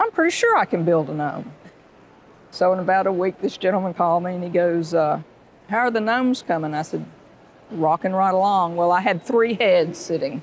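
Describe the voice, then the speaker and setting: A woman speaks at a fairly quick pace in a Southern US accent. Her pitch is medium, with ordinary pitch variation. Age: 60s. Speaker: florist and shop owner. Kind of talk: podcast interview, storytelling. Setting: live recording at an airport.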